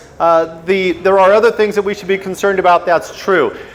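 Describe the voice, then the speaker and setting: Against noticeable background noise, a man with an American accent speaks at a high pitch. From US, Washington state. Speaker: motorcycle riding instructor. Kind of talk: lecture. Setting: stage with audience. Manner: animated.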